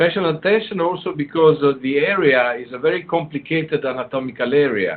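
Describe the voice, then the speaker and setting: A man with an Italian accent has a fairly high pitch and ordinary pitch variation. He keeps a moderate pace with hardly any pauses. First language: Italian (speaking Spanish). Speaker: surgery professor and endoscopist. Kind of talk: lecture. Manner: halting, many fillers.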